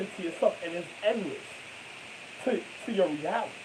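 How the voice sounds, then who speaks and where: A man with an American accent talks with lively intonation. Noticeable background noise sits behind him. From New York. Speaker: vlogger. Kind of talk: monologue. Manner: halting.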